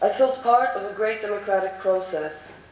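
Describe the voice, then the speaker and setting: Noticeable background noise and audible room echo surround a woman's voice. She speaks at a moderate pace and medium pitch, with ordinary pitch variation. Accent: American. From US, New York. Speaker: conference panelist. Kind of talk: prepared speech. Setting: conference hall with audience.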